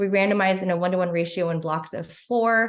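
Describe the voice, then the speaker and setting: A woman speaks in a fairly low pitch. Her intonation stays fairly even. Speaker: physician researcher. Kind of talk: conference presentation. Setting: virtual symposium, screen sharing. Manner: fast; halting with fillers.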